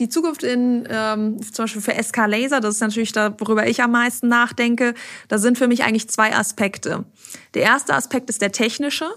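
A woman's fairly high-pitched, normal speaking voice at a fairly quick pace, on a very clean recording with a silent background. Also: ordinary pitch variation. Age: 30s. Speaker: managing director of a machine-building company. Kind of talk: interview.

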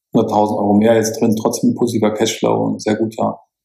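Over music in the background, a man speaks at a fairly quick pace with medium pitch. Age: 50s. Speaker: financial planner and property investor. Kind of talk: interview. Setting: video call.

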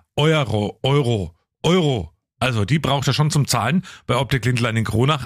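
In a very clean recording with a silent background and a dry, close sound with no echo, a man of medium pitch talks at a moderate pace with very wide pitch swings. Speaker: radio host. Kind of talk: casual chat.

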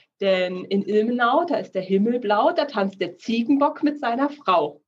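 At a fairly slow pace, a woman with an unremarkable speaking voice talks at a fairly high pitch with lively intonation. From Thuringia, Germany (Thuringian Forest). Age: 30s. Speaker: insurance and finance broker. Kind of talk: casual interview chat.

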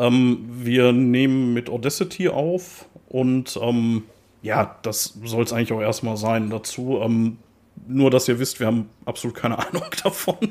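A man speaks at a medium pitch with ordinary variation in his intonation. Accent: strong Ruhr. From Ruhr area, Germany. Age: 30s. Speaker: metal podcast co-host. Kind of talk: casual chat. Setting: remote recording over headphones.

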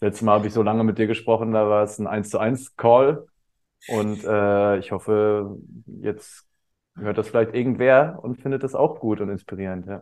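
An ordinary speaking voice, a man with a fairly low pitch, speaks at a moderate pace. His intonation stays fairly even over a quiet background. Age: 30s. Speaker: teacher and coach. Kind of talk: casual chat.

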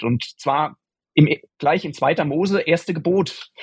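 In an ordinary speaking voice, a man talks fairly slowly at a fairly high pitch with ordinary pitch variation. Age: 40s. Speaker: software developer, guest. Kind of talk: casual faith conversation.

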